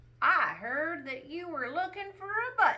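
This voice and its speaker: Raised and projected, a woman's put-on character voice reaches an extremely high pitch and swings very widely. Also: moderate pace. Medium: read story.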